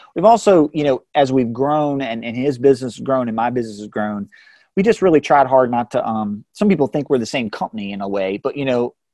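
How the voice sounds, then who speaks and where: Here is a man with an American accent and a dark, mellow tone at medium pitch. He moves at a fairly quick pace with lively intonation. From Central Virginia, US. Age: 40s. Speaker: entrepreneur, cycling apparel brand owner. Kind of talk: interview. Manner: halting, many fillers and restarts.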